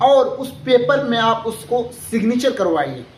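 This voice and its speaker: Audible room echo and noticeable background noise both run through the recording. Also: man. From India, Bihar (Kishanganj district). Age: 20s. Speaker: vlogger. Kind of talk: political appeal to voters. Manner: earnest, with hesitations.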